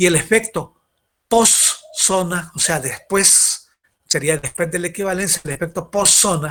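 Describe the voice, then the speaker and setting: With ordinary shifts in pitch, a man talks in a high voice. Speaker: university lecturer. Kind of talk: lecture. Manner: fast.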